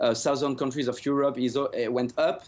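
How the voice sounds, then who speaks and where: Over a quiet background, a man with a French accent speaks at a fairly high pitch. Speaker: economic commentator. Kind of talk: news interview answer. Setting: remote news link. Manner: hesitant, many fillers.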